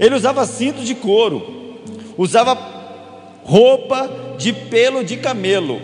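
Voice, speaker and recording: A man's extremely high-pitched voice at a very slow pace, broken by long, frequent pauses, over noticeable background noise. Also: ordinary pitch variation. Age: 30s. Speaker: pastor. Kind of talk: sermon.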